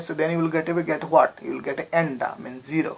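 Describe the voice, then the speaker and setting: The speech comes at a fairly quick pace with a Bengali accent. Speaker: chemistry teacher. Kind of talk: lecture.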